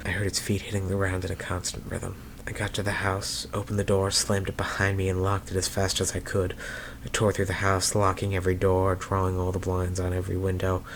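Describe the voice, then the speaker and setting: Noticeable background noise under a man's very deep, low voice. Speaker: story narrator. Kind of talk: horror story reading.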